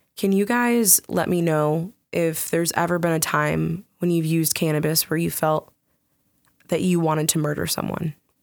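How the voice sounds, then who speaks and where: Speaking at a moderate pace, a woman uses an ordinary speaking voice. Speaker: podcast host. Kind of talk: casual chat. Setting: podcast recording.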